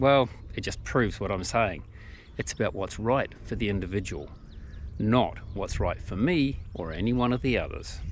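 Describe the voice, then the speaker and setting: In a New Zealand accent, a man speaks at a moderate pace. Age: 60s. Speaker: hiking vlogger. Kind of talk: tutorial. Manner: casual, conversational.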